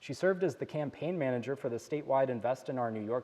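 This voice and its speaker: At a fairly quick pace, a man with medium pitch uses lively intonation in a plain, everyday voice. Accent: American. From Pennsylvania. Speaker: panel moderator and researcher. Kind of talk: moderated panel introduction.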